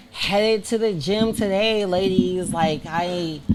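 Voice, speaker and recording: A woman speaks at a medium pitch with lively intonation over noticeable background noise. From Germany (Army brat, born in Detroit). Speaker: master barber and social media personality. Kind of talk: casual chat. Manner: animated.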